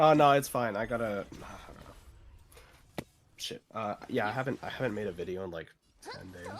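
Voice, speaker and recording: Over music in the background, a man with a fairly low pitch talks at a moderate pace in a strained voice, his pitch varying in an ordinary way. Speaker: content creator. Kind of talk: casual chat. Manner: strained, barely able to talk.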